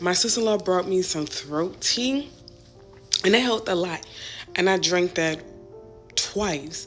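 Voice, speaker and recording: Pitch variation is ordinary. Music plays in the background. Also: woman. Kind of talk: casual vlog talk to camera.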